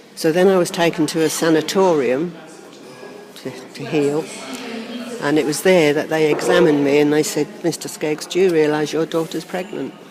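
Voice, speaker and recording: A woman with a very deep, low voice speaks at a moderate pace with fairly even intonation and long, frequent pauses, amid audible room echo and noticeable background noise. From Norfolk, England. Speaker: birth mother reunited with adopted son. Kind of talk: interview testimony. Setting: seated in a cathedral.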